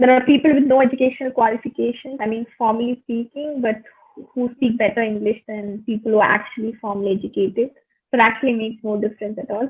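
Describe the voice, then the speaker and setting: Talking at a very fast pace, a woman with a fairly high pitch keeps her intonation fairly even. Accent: Tamil. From India, Pondicherry. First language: Tamil. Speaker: English tutor. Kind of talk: English practice video call conversation. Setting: video call.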